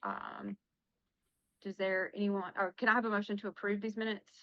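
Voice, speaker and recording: A woman's voice sits at a medium pitch. The intonation stays monotone and flat. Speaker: school board chair. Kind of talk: board meeting. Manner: hesitant, many fillers.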